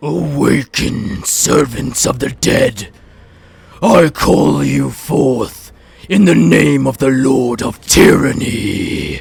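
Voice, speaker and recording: A man's loud, put-on character voice at a medium pitch, growling, bellowing and booming at a very slow pace with very wide pitch swings. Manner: commanding, booming.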